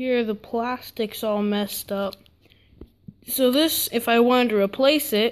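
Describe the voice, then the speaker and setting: Over light background noise, a woman speaks at a fairly slow pace with fairly even intonation. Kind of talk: casual tutorial narration. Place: home room. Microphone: phone near.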